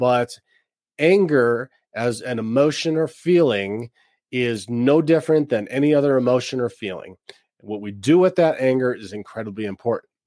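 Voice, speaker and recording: A man's medium-pitched voice with a dark, mellow tone, lively intonation, big swings in loudness and a moderate pace. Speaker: podcast host and divorce coach. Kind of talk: solo podcast monologue. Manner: halting with frequent fillers.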